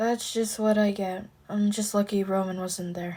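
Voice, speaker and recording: In a put-on character voice, a woman sounds hoarse and soft-spoken, keeping a medium pitch and a monotone, flat intonation at a moderate pace. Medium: read story.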